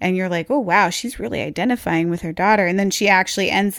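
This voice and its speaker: On a very clean recording with a silent background, a woman in a normal speaking voice talks at a fairly quick pace with a medium pitch and ordinary pitch variation. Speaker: podcast host. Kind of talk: casual chat.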